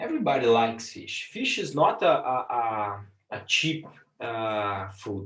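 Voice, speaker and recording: This man's speech comes at a fairly slow pace. The room adds an audible echo. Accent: Portuguese. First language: Portuguese. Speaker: business lecturer and impact investor. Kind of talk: lecture. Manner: halting, frequent repetitions and fillers.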